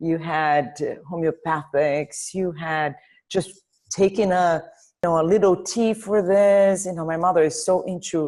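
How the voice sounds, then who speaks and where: A woman with a Portuguese accent and a fairly low pitch, against a quiet background. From Brazil, Rio de Janeiro. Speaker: dentist. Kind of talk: interview.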